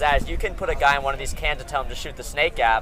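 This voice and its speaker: Noticeable background noise runs through the clip. A man speaks very fast over it. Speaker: paintball commentator. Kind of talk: live commentary. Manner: loud; animated.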